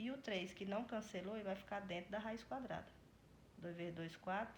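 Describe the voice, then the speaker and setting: Somewhat breathy, a woman talks at a medium pitch and a moderate pace. Her pitch varies in an ordinary way, and room echo is audible. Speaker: math teacher. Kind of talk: tutorial.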